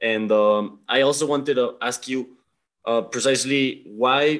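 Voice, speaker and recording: A man with a Spanish accent, fairly even intonation, and a quiet background. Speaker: podcast host. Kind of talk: interview.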